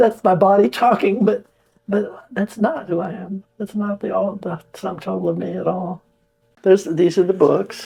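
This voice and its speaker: Her tone dark and mellow with vocal fry, a woman talks at a moderate pace, with a medium pitch and ordinary pitch variation. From India. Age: 90s. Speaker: spiritual student sharing experiences. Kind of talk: testimony.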